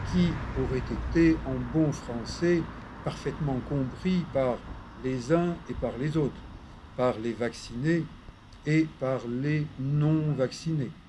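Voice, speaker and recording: Speaking at a very slow pace, a man leaves long, frequent pauses over noticeable background noise. His fairly high voice shows ordinary pitch variation. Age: 70s. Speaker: physiotherapist. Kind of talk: casual talk to camera, opinion monologue. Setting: outdoors. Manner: calm, polite.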